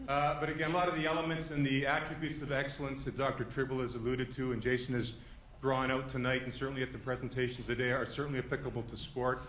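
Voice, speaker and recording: Someone talks at a very fast pace in a monotone, flat intonation, with noticeable background noise and audible room echo. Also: man, medium pitch for a man. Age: 50s. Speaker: sports administrator. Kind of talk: thank-you speech. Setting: lecture hall with audience.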